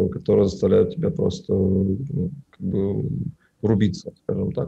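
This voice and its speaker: A man's fairly low voice, dark and mellow in tone, with lively intonation and vocal fry. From Russia, Tatarstan (Naberezhnye Chelny). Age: 20s. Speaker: film colorist, studio owner. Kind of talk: casual interview.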